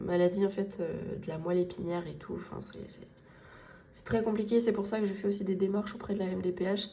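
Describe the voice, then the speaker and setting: A woman's medium-pitched, monotone voice with flat intonation, amid noticeable background noise and audible room echo. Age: 20s. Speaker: budgeting vlogger. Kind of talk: casual vlog talk to viewers. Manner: poorly articulated, repetitive, hesitant.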